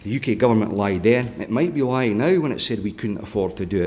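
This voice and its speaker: A man with a Scottish accent speaks at a very fast pace. His fairly low voice has lively intonation. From Scotland. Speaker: politician. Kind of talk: conference speech.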